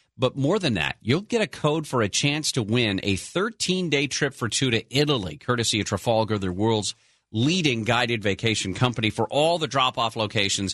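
A man with a normal speaking voice and a medium pitch talks at a moderate pace with lively intonation, very even loudness and hardly any pauses. The sound is dry and close with no echo, against a quiet background. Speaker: radio host. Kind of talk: talk radio show. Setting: studio.

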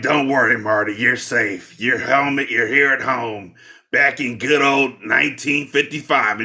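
A man's husky put-on character voice, medium in pitch, fairly slow, with fairly even intonation. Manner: comforting.

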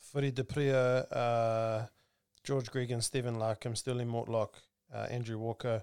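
A man speaks with monotone, flat intonation. The sound is dry and close with no echo, in a very clean recording with a silent background. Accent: New Zealand. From New Zealand. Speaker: rugby podcast host. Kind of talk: casual chat. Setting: studio.

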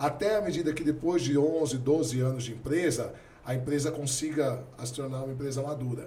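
Amid audible room echo, a man speaks at a fairly quick pace in a fairly high voice with ordinary pitch variation. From Brazil, Santos. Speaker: philosophy teacher and businessman. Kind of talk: podcast interview.

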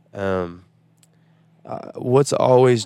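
The recording is very clean, with a silent background. A man speaks with a Southern US accent. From Nashville, Tennessee. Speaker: country singer-songwriter. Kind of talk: casual interview chat. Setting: on a tour bus.

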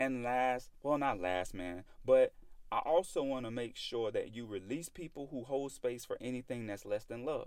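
Talking at a moderate pace, a man speaks with a Southern US accent. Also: medium pitch for a man, ordinary pitch variation. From US South. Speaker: podcast host. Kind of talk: solo podcast monologue. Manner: casual, conversational.

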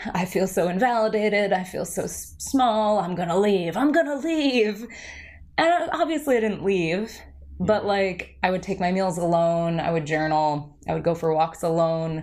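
A woman with an American accent uses a normal speaking voice at medium pitch. Her intonation is lively and her pace moderate. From New Jersey. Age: 30s. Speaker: meditation teacher. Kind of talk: casual interview chat.

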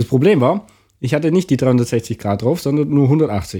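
A voice with a dark, mellow tone and a lively, bouncing intonation. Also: man. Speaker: podcast co-host. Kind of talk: casual chat. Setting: living room, in person.

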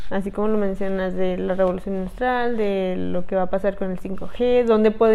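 A woman with an unremarkable speaking voice talks at medium pitch and a moderate pace, with fairly even intonation and hardly any pauses. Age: 20s. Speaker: podcast co-host. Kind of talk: casual chat.

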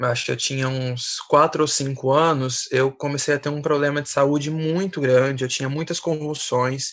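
A man talks in an ordinary speaking voice, pitched fairly high. His intonation stays fairly even and his pace is fairly slow. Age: 20s. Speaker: missionary and entrepreneur. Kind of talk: casual chat.

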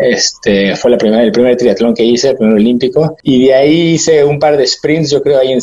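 A man is speaking. His pace is moderate. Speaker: amateur triathlete. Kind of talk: interview. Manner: halting, many fillers.

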